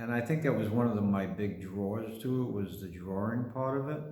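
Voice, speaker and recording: In a room with audible echo, a man with a New York accent speaks at a fairly slow pace. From Brooklyn, New York. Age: 60s. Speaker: painter and artist. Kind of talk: casual personal monologue. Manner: halting, with many fillers.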